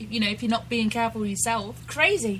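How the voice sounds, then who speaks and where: The woman speaks at a fairly quick pace. Noticeable background noise runs underneath. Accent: English. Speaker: radio co-host. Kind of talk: casual chat.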